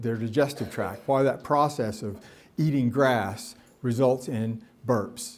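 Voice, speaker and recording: With a Tennessee accent, a man speaks at medium pitch with ordinary pitch variation. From US South, Nashville, Tennessee. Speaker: professor. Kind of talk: lecture. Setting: stage with audience. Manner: animated, waves arms.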